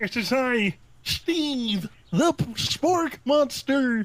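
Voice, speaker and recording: Someone performs a put-on character voice at a fairly high pitch and a very slow pace. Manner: exaggerated, different voice.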